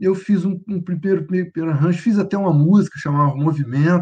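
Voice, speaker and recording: Speaking at a moderate pace, a man's voice is somewhat breathy with a dark, mellow tone. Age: 60s. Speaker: conductor, pianist, composer and singer. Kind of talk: casual interview. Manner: halting, repeats words.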